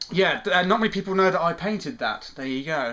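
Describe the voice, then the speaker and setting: Talking at a very fast pace, a man with a British accent has a bright, sharp tone. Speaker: vlogger. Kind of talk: casual vlog. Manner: hesitant, lots of ums.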